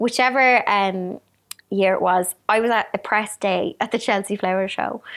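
A woman speaks at a medium pitch with ordinary pitch variation, captured in a very clean recording against a silent background. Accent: Irish. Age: 30s. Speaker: YouTuber and author. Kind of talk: casual interview chat.

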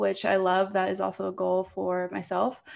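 In an American accent, a woman with an ordinary speaking voice talks at a moderate pace and a medium pitch. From US East Coast, Virginia. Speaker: fitness podcast co-host. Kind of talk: casual chat.

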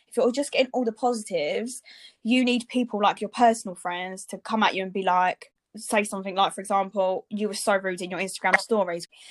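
A woman with an unremarkable speaking voice, medium pitch and fairly even intonation, at a fairly quick pace in a very clean recording with a silent background. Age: 20s. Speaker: podcast co-host, blogger. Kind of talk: casual chat.

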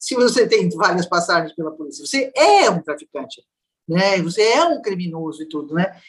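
Lively intonation runs through a woman's plain, everyday voice. Her pitch sits at a medium level. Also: moderate pace. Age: 60s. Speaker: social scientist, violence researcher. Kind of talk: interview conversation.

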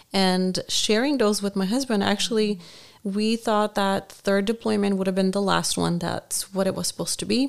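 Spoken at a moderate pace with a non-native accent, the voice keeps a fairly even intonation over a very clean recording with a silent background. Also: woman, medium pitch for a woman. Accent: foreign accent, noticeable. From Bulgaria. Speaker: military spouse. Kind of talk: interview. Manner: halting, many fillers.

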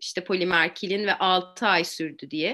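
A woman's bright, sharp voice against a quiet background. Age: 40s. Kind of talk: interview.

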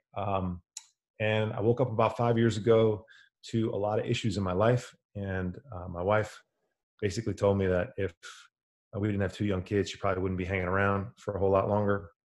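Speaking in an American accent, a man has a fairly low pitch and flat, monotone intonation. He talks at a fairly quick pace with long, frequent pauses, over a quiet background. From New York City area, New Jersey. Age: 40s. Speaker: nutrition coach, former bond trader. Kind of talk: casual chat.

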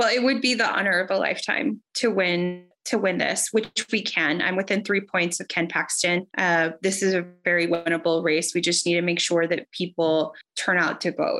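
With hardly any pauses, a woman with an American accent speaks at a moderate pace in a bright, sharp tone, her pitch fairly low with ordinary variation. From Texas, Rio Grande Valley. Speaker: politician, civil rights lawyer. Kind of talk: political interview.

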